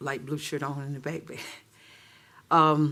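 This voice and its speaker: At a moderate pace, a man with an Alabama accent talks in a fairly high pitch and a monotone, flat intonation. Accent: Southern US (Alabama). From Auburn, Alabama, US South. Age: 60s. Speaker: city council member. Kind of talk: council meeting remarks. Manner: halting.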